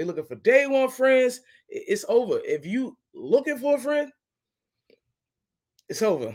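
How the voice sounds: At a fairly slow pace, a man talks at an extremely high pitch with big pitch swings and a slightly mellow tone.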